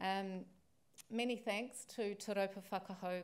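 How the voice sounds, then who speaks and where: A woman with a New Zealand accent, medium pitch and fairly even intonation. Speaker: library association president-elect; guest. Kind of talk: formal welcome speech. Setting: stage with audience. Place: hall. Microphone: podium.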